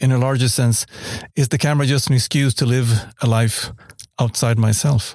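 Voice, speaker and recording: Somewhat breathy, a man speaks at a moderate pace and medium pitch with ordinary pitch variation. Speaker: photojournalist. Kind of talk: prepared personal reflection.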